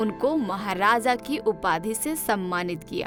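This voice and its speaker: With music playing in the background, a woman speaks at a fairly high pitch with lively intonation. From Jharkhand, India. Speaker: radio presenter. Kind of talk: history narration.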